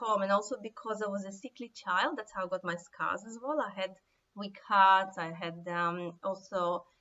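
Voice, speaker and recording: A woman with a Russian accent speaks at a moderate pace. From Siberia, former Soviet Union. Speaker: author. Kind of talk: talk to camera. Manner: hesitant, many fillers.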